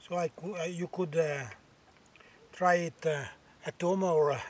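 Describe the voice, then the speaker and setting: The speaker is a man with an Italian accent. He goes at a fairly slow pace with ordinary pitch variation. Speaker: bushcraft vlogger. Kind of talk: outdoor cooking tutorial. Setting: outdoors. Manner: halting, many fillers.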